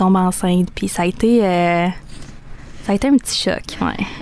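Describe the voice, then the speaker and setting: There is noticeable background noise behind the speaker. A woman with a Quebec accent speaks at a medium pitch. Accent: Québécois French. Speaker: young mother. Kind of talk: interview testimony. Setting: studio.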